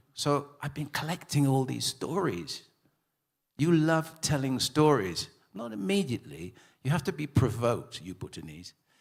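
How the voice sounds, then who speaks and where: A man speaks at a medium pitch with vocal fry and very wide swings in pitch. His loudness jumps a lot, and his pace is moderate. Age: 70s. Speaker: author, retired graphic designer. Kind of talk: panel talk at literature festival. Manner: halting.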